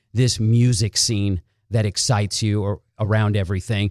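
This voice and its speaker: A man speaks with a dark, mellow tone at a moderate pace. The recording is very clean with a silent background and a dry, close sound with no echo. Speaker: podcast host. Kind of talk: casual interview; scripted intro. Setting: guest's studio.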